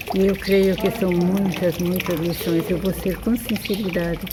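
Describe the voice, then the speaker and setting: Noticeable background noise and audible room echo fill the recording. Through them a woman speaks at a medium pitch. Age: 80s+. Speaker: religious sister. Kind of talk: testimony.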